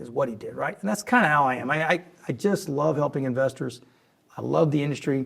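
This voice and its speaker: Talking at a very fast pace, a man with a fairly high pitch sounds animated, with lively intonation and vocal fry. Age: 60s. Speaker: oil and gas investment executive. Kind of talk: interview conversation. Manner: animated storytelling.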